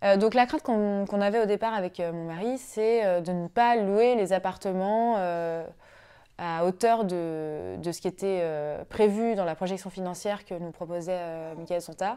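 Over a quiet background, a woman with a dark, mellow tone talks at a fairly slow pace with ordinary pitch variation. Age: 30s. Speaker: web engineer, client of a property investment firm. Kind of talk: testimony. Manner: hesitant, frequent fillers. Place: home room.

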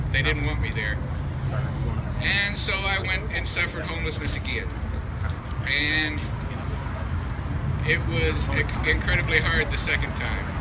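A man at a moderate pace with long, frequent pauses, amid loud background noise. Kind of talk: personal testimony speech. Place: street. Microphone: camera far.

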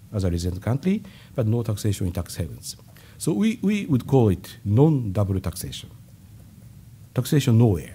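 A man with a Japanese accent speaks at a moderate pace with long, frequent pauses and lively intonation. His fairly low voice is dark, mellow and somewhat breathy. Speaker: government finance official. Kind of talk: press conference. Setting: stage with audience. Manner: halting. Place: hall. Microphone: podium.

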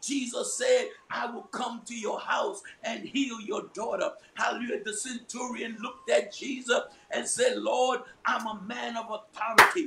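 This man's loudness swings a lot as he goes at a moderate pace, with noticeable noise in the background. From New York. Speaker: prayer meeting leader; preacher. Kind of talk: fervent group prayer and scripture reading. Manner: fervent, rising, call-and-response, punctuated by hallelujahs. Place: home room. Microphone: video call.

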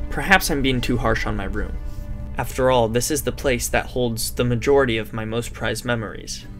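Music plays behind a man whose intonation stays fairly even. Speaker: recent high school graduate narrator. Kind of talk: reflective narration.

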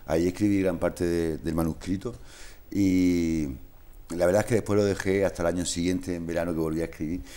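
A man's very deep, low voice with a dark, mellow tone, monotone, flat intonation and a fairly quick pace. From Spain. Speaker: social worker, musician and author. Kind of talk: interview. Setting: studio. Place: studio. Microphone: lapel.

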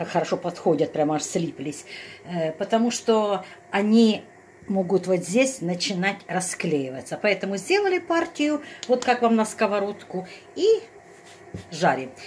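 A woman talks at a moderate pace in a medium pitch with a slightly mellow tone. Her pitch swings are big.

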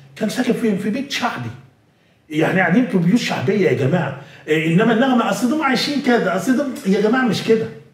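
Lively intonation and an animated tone at a fairly quick pace, with audible room echo and noticeable background noise. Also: man, high pitch for a man. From Egypt. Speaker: news correspondent. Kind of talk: interview storytelling.

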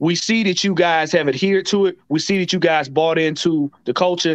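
Against a quiet background, a man talks at a high pitch. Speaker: panelist. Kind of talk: commentary. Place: home room. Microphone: webcam.

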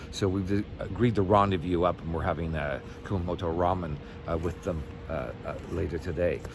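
A man speaks at a moderate pace in a very deep, low voice, the sound dry with no echo and noticeable background noise behind him. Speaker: solo sailor vlogger. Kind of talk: casual vlog chat. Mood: relaxed, friendly. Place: street. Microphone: phone near.

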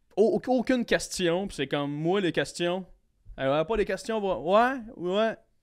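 A man with a Quebec accent talks at a very slow pace. His pitch is high and his intonation lively. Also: quiet background. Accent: Québécois French. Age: 20s. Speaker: comedian. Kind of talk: casual chat. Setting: studio. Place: studio. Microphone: studio mic.

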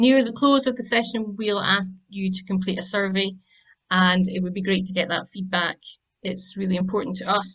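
Somewhat breathy, a woman speaks at a fairly quick pace over a quiet background. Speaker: webinar host. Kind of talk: housekeeping announcements and speaker introduction. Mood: friendly, light laughs. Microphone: video call.

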